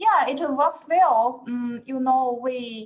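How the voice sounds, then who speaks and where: A woman with a Chinese accent and a high pitch speaks at a very slow pace with lively intonation. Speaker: plant protection researcher. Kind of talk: online workshop Q&A. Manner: halting.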